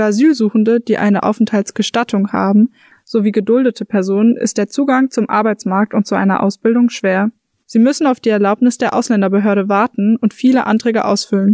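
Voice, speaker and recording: At a fairly quick pace, a woman with a fairly high pitch and a dark, mellow tone speaks with very even loudness and fairly even intonation, in a dry, close sound with no echo. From Frankfurt. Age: 20s. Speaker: student, podcast host. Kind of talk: scripted narration.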